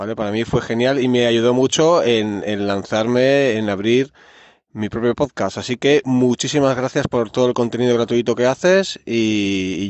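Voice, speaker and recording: At a fairly slow pace, a man with a normal speaking voice talks at a medium pitch with ordinary pitch variation. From Barcelona, Catalonia, Spain. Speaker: listener, podcaster. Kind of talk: recorded voice message.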